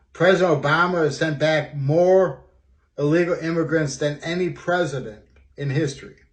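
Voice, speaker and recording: Through audible room echo, a man with a fairly high pitch talks using fairly even intonation. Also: moderate pace. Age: 60s. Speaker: student. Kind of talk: personal video monologue. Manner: halting, many fillers.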